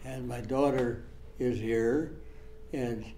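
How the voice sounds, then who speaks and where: A man with an American accent, audible room echo around him. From US Midwest, Iowa farming community. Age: 90s. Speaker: war veteran. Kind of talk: oral history interview. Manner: halting.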